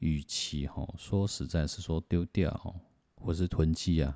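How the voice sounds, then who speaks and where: A man with a Taiwanese accent, very deep, low pitch and a dark, mellow tone, on a very clean recording with a silent background. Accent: Taiwanese Mandarin. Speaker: podcaster. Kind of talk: book review monologue. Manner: soft-spoken; halting.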